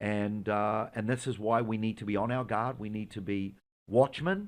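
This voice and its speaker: In a New Zealand accent, a man talks at a moderate pace. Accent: New Zealand accent, still noticeable. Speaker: Israeli tour guide, Messianic believer. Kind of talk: religious interview discussion. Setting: studio in America.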